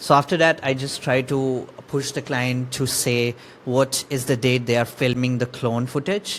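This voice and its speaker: A man's medium-pitched voice with an Indian accent at a moderate pace, over noticeable background noise. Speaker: marketing agency owner. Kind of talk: tutorial. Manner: halting.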